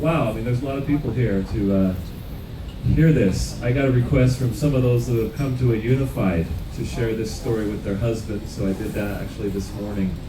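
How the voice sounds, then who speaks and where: Over noticeable background noise and audible room echo, a man speaks fairly quickly at a medium pitch with ordinary pitch variation. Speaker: company founder. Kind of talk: speech to audience.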